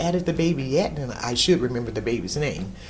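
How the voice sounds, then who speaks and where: Talking very fast with lively intonation and a very deep, low pitch, a woman comes through with audible room echo and noticeable background noise. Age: 60s. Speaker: customer service representative. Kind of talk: interview testimonial.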